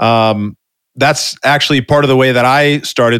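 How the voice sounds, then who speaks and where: Here a man is talking. His voice is medium in pitch. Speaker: podcast host. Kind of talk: interview, casual conversational.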